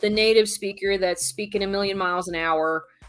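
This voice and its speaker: Female speech at a medium pitch, showing ordinary pitch variation. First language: not Spanish (English). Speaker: online Spanish teacher and YouTuber. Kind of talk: live stream talk. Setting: live stream from home in Mexico City.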